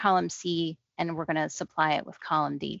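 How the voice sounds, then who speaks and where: A woman talks at a moderate pace with a fairly low pitch. She has a plain, everyday voice. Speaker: Excel trainer. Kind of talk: tutorial.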